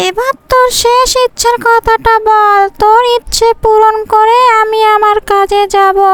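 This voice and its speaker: A woman in a cartoonish character voice, extremely high in pitch, at a fairly slow pace. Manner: warm, reassuring.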